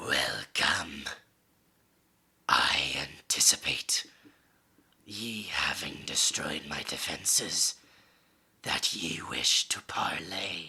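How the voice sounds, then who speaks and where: In a raspy put-on character voice, the speaker goes at a very slow pace with long, frequent pauses. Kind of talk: archaic formal speech. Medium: actual play. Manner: stately, formal.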